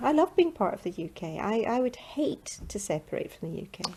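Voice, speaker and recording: A woman with a Scottish accent at a fairly quick pace with hardly any pauses and big swings in loudness, over noticeable background noise. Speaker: interviewee in street vox pop. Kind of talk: vox pop interview.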